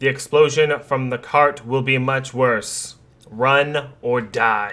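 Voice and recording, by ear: This man puts on a character voice at a medium pitch. He speaks at a fairly slow pace.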